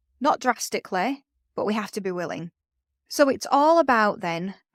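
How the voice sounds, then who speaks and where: On a very clean recording with a silent background and a dry, close sound with no echo, a woman speaks at a fairly high pitch with lively intonation. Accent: northern English. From northern England. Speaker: podcast host, education business mentor. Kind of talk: solo podcast talk.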